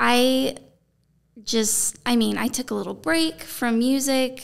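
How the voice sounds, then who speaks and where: A woman with a slight country accent. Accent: slight country twang. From Arizona (Safford, small rural town). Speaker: singer-songwriter. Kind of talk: casual interview chat. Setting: conference room.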